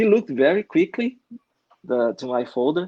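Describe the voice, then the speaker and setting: A man with a Brazilian accent at a moderate pace, with ordinary pitch variation. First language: Portuguese. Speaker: comic book artist. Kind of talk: casual interview. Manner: halting.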